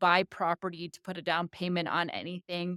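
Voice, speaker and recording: A speaker with an American accent comes through on a very clean recording with a silent background and a dry, close sound with no echo. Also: woman. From United States. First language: Tagalog. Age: 40s. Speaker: vlogger. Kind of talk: personal vlog talk. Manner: casual, conversational.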